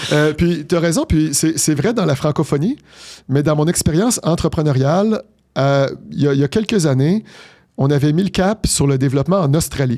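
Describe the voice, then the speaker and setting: A man speaks at a moderate pace in a fairly high voice, with ordinary pitch variation and very even loudness, on a very clean recording with a silent background. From Quebec, Montreal. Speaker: business executive. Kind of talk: interview. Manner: articulate.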